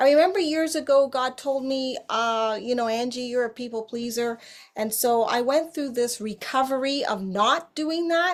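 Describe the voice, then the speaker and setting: Against a silent background in a very clean recording, a woman speaks at a high pitch with ordinary pitch variation. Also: moderate pace. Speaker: life coach. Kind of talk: seminar presentation. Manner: animated.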